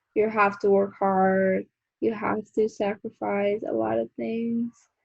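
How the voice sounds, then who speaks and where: A woman with a Colombian accent, medium pitch, fairly even intonation and a very slow pace. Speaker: beauty vlogger. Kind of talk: casual chat. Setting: video call.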